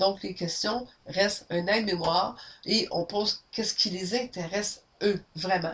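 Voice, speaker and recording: At a fairly slow pace, a woman in a Quebec accent speaks at a medium pitch over noticeable background noise. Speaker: sales trainer. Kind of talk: webinar training. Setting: webinar, camera. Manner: loud; energetic.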